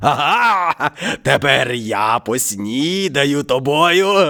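A very slow, growling put-on character voice from a man at a fairly high pitch. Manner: gloating.

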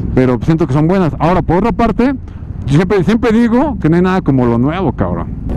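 A man's high voice at a very fast pace, with very wide pitch swings, very even loudness, light background noise and a dry sound with no echo. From Mexico. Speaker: motovlogger. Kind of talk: casual chat. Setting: riding motorcycles. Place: motorbike. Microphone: helmet.

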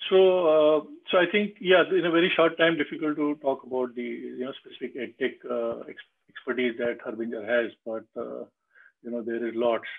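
A man talks at a moderate pace with lively intonation over a quiet background. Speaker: business consultant and webinar host; webinar host. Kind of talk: moderated panel discussion. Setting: video call. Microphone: video call.

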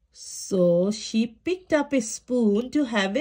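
Lively intonation marks this plain reading aloud.

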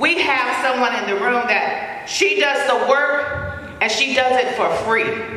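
A woman speaks in a raised, projected voice at a very slow pace, her pitch high with ordinary variation, in strong room echo. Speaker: community leader. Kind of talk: award presentation speech. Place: hall.

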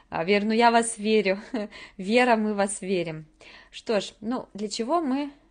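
Against a quiet background, a woman talks at a fairly slow pace with long, frequent pauses. Her pitch is fairly high, with ordinary variation. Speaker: English teacher. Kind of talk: webinar presentation. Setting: live webinar. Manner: soft-spoken. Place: home room. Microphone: webcam.

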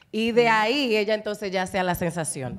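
A woman speaks with ordinary pitch variation. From Dominican Republic, San Pedro de Macorís; Dominican Republic. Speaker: broadcaster and voice-over artist; talk show panelist. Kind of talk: casual chat. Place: studio. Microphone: handheld.

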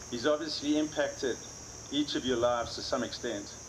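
A man talks at a fairly quick pace, his intonation fairly even, with noticeable noise in the background. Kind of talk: memorial speech. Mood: somber, warm. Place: garden. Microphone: camera far.

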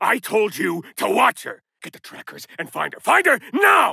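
In a put-on character voice, a man sounds raspy as he goes along at a moderate pace. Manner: angry, shouting.

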